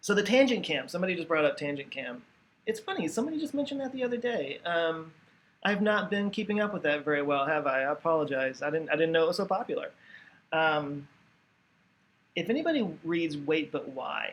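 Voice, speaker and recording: A high-pitched male voice with an American accent, lively intonation and a fairly quick pace. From Texas. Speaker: YouTube educational creator. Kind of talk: live stream Q&A. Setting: live stream at home. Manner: casual with many fillers and restarts.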